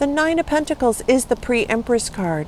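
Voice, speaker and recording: At a moderate pace, a woman's voice swings very widely in pitch. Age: 60s. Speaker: tarot reader. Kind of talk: tarot reading. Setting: outdoors, camping. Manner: animated.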